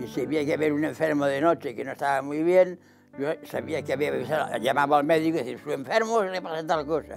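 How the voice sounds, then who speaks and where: Clear music plays in the background. Over it, a man talks at a fairly quick pace with a fairly high pitch and ordinary pitch variation. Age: 80s+. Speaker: elderly interviewee. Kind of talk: interview answer. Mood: calm reminiscing. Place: home room. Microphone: lapel.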